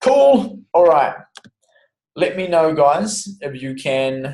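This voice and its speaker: In an Australian accent, a man speaks very slowly with lively intonation. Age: 20s. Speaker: fitness coach. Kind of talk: online webinar tutorial. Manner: casual.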